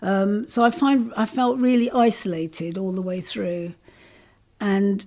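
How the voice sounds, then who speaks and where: This woman speaks at a very slow pace, her medium pitch carrying a dark, mellow tone. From South London, born in Jamaica. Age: 60s. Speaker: interviewee. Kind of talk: oral history interview. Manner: hesitant, with many fillers.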